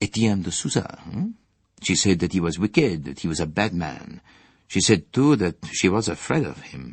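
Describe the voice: Plain reading aloud. Its intonation is lively.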